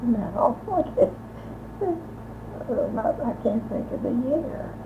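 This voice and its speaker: With noticeable background noise, a woman with an American accent speaks at a very slow pace. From US Midwest, Columbus, Indiana. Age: 80s+. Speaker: elderly local resident, former secretary. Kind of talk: oral history interview. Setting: her home. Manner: halting, many hesitations.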